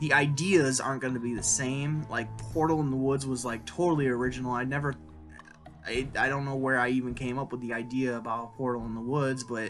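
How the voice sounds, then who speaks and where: Faint music plays in the background. A man speaks over it at a fairly quick pace with fairly even intonation. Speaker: writer vlogger. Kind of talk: casual vlog chat. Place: home room. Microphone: webcam.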